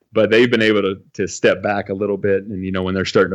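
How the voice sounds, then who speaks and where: A man's fairly low, monotone voice with flat intonation, in an American accent, over a quiet background. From California. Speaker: baseball academy coach. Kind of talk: casual interview. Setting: video call.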